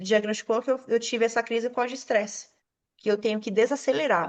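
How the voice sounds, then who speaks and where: A woman's fairly high, animated voice with ordinary pitch variation against a quiet background. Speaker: self-employed studio owner, podcast guest. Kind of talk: casual chat.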